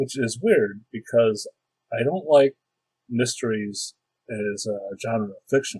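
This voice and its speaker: A man of medium pitch talks very slowly in a somewhat breathy voice with ordinary pitch variation, the sound dry and close with no echo. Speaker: tabletop role-playing game master. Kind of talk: casual talk about role-playing games.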